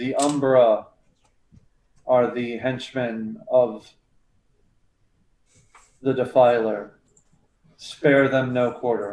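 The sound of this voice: Using a booming, put-on character voice at a medium pitch, a man speaks at a very slow pace with long, frequent pauses and slight echo.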